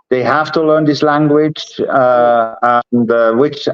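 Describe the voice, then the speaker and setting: A man with a Swiss German accent, speaking at a very slow pace. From Switzerland. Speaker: entrepreneur. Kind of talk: interview. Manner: halting.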